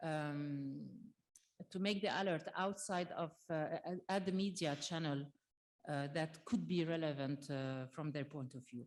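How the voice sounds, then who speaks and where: Her pitch is very deep and low. The woman speaks at a fairly slow pace. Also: ordinary pitch variation. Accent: French. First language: French. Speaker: trade union representative. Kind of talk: conference closing summary. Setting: conference with audience. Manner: halting, many fillers.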